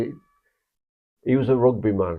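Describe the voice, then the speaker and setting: A man's medium-pitched voice with lively intonation. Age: 70s. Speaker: football fan podcast co-host. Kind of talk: casual chat.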